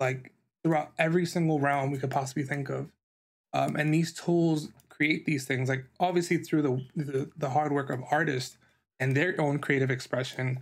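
A man with an American accent has an ordinary speaking voice, fairly high in pitch, at a moderate pace. His intonation is fairly even, and the background is quiet. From New York. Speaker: podcast host and designer; podcast host. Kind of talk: solo podcast monologue. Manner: casual with many filler words. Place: home room.

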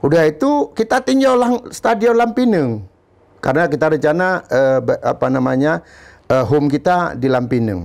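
Against a quiet background, a man talks at a moderate pace with very wide pitch swings and very even loudness. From Aceh, Indonesia. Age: 50s. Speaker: former football club manager; guest. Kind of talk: interview. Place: studio. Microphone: lapel.

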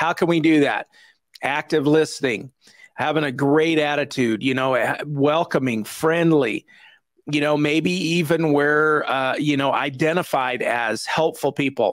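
Speaking at a fairly slow pace, a man uses a fairly high pitch with ordinary variation.

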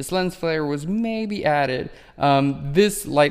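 The speaker is a man. The background is quiet. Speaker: photography educator. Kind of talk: tutorial. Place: office.

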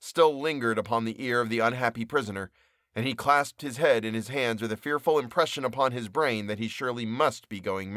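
Ordinary pitch variation in plain reading aloud

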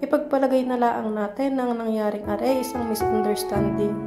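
With music in the background, a woman in a Batangas accent speaks at a moderate pace. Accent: Batangueño Tagalog. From Batangas, Philippines. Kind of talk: spoken word poetry. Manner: pleading, emotional.

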